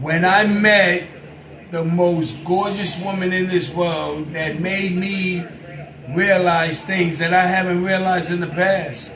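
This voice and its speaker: A man speaks at a very slow pace with a high pitch and monotone, flat intonation. Noticeable background noise and audible room echo fill the recording. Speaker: couple vlogger. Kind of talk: casual chat.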